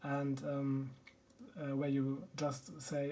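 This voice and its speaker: In a German accent, a man speaks at a fairly high pitch with a dark, mellow tone and audible room echo. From Germany. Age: 30s. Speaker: board game YouTuber. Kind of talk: casual video introduction. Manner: halting, many filler ums.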